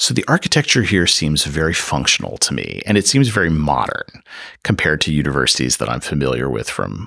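A man's very deep, low voice with an American accent, vocal fry, a bright, sharp tone, ordinary pitch variation and a fairly quick pace. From US Midwest, Chicago area. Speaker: art history professor. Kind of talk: interview.

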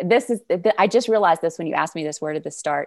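On a very clean recording with a silent background, a woman with a Southern US accent speaks at a medium pitch with ordinary pitch variation. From Arkansas, US South. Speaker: sales coach. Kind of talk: casual interview chat.

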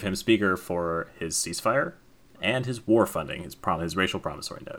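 With an American accent, a man talks at a fairly quick pace and with ordinary pitch variation. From US Southwest, New Mexico. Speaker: board game podcast guest. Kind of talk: casual chat.

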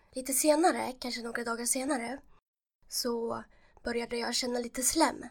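Her pitch is high for a woman, with fairly even intonation. She speaks at a moderate pace. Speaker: transplant patient with cystic fibrosis. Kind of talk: casual interview, telling personal story.

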